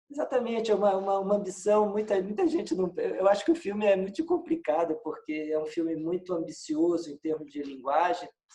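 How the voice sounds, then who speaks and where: The voice has a dark, mellow tone and very wide pitch swings, moving at a fairly quick pace with hardly any pauses. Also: man, high pitch for a man. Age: 60s. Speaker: filmmaker and musician, film professor. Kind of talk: casual interview. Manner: halting, many repetitions.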